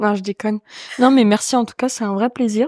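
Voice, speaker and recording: A woman with a fairly high voice and ordinary pitch variation is heard dry and close with no echo, on a very clean recording with a silent background. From France, Champagne-Ardenne. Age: 20s. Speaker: comedian and streamer. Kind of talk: casual chat. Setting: in an apartment. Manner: talkative.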